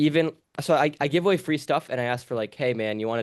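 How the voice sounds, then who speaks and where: Against a quiet background, a man talks in a New York accent. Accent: New York American. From New York City. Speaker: language teacher. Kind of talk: casual chat. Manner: fast.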